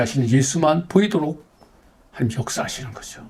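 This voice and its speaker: A fairly high-pitched male voice with a dark, mellow tone and ordinary pitch variation. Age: 70s. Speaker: pastor. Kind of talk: testimony. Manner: earnest, exhortative.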